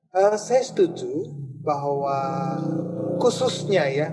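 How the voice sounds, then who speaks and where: A man with a fairly high voice talks at a very slow pace. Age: 60s. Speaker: church elder. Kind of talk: talk show interview. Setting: radio studio. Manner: halting.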